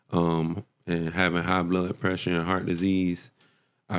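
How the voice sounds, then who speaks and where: On a very clean recording with a silent background, a man with an American accent speaks in a very deep, low pitch with monotone, flat intonation. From South Florida, Hollywood. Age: 30s. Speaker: vegan chef. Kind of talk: casual interview.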